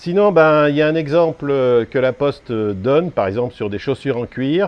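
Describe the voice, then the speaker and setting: Speaking at a moderate pace, a man with a plain, everyday voice uses a fairly high pitch and lively intonation. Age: 60s. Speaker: small e-bike parts seller. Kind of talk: casual explainer video. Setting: outdoors on a terrace.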